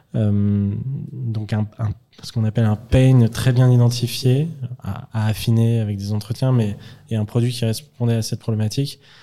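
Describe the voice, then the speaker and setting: At a moderate pace, a man with a medium pitch speaks over noticeable background noise. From France, Lyon. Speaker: startup founder and CEO. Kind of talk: interview. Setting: company office.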